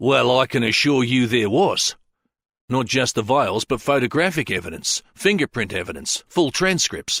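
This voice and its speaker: In a gruff, put-on character voice at medium pitch, a man talks at a moderate pace, the sound dry and close with no echo and the recording very clean against a silent background. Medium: read story. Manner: wary, hesitant.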